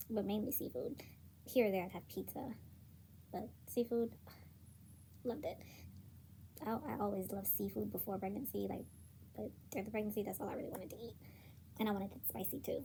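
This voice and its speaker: A woman talks at a very fast pace, broken up by frequent long pauses. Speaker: new mother, vlogger. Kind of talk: casual talk to camera. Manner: upbeat, energetic.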